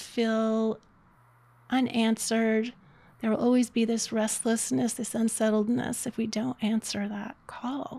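A woman speaks at a fairly slow pace in a somewhat breathy, fairly high voice, her intonation fairly even and her tone dark and mellow. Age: 60s. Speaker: life coach. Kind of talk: casual interview.

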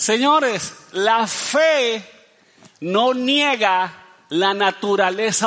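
Audible room echo and noticeable background noise surround a man speaking very slowly. He is high-pitched for a man, with ordinary pitch variation. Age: 50s. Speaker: pastor. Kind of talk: sermon.

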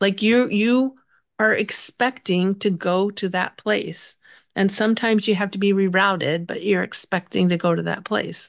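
A woman speaks at a medium pitch with fairly even intonation. The background is quiet. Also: moderate pace. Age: 60s. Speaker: grief coach and author. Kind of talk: interview conversation. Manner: hesitant with fillers.

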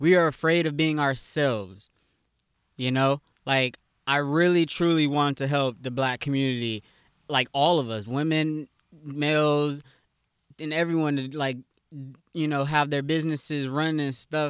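A man's fairly high-pitched voice at a moderate pace, with fairly even intonation and long, frequent pauses, in a dry, close sound with no echo and a very clean recording over a silent background. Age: 20s. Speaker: podcast host. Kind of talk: casual monologue.

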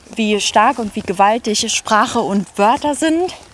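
Very slow, fairly high-pitched speech from a woman, its pitch moving in a typical way, over noticeable background noise. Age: 30s. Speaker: zoo press and communications staff. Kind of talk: casual chat. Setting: outdoors, walking through a zoo.

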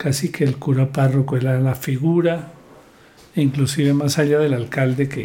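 A man talks at a fairly slow pace with fairly even intonation. His fairly high voice is somewhat breathy, with a dark, mellow tone. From Colombia, southern Huila (San Agustín). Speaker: lawyer. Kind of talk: interview.

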